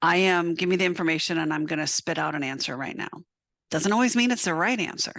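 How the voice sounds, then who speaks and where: A woman's fairly low-pitched voice with vocal fry, in an American accent, with lively intonation at a very fast pace against a quiet background. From South Dakota, US. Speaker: veterinary technician and educator. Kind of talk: webinar presentation. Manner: loud.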